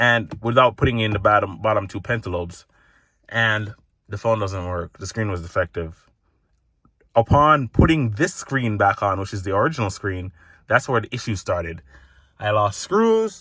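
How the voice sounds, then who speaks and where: A man's fairly low, bright, sharp voice at a moderate pace, with long, frequent pauses, in a very clean recording with a silent background. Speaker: tech vlogger. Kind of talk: casual vlog monologue. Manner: halting, with many false starts.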